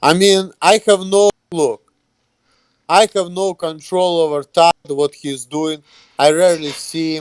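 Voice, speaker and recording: A man with a non-native accent speaks at a high pitch and a fairly slow pace, with fairly even intonation. The sound is dry and close, without echo. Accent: foreign. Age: 30s. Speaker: YouTuber. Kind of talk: casual interview.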